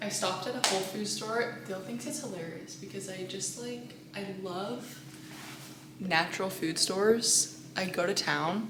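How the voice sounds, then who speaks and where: A woman talks at a medium pitch and a fairly slow pace, with ordinary pitch variation. There is noticeable background noise and audible room echo. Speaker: vlogger and holistic nutritionist. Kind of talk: casual vlog. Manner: animated; whispering.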